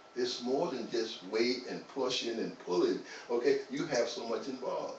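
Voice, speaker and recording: A man talks at a moderate pace. Audible room echo and noticeable background noise surround him. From US South, North Carolina. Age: 60s. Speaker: fitness trainer. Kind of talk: interview. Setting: live stream.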